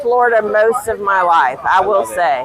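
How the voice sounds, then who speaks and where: Over crowd noise in the background, a woman talks at a moderate pace with ordinary pitch variation. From Louisiana. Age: 40s. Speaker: bar patron. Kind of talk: casual chat.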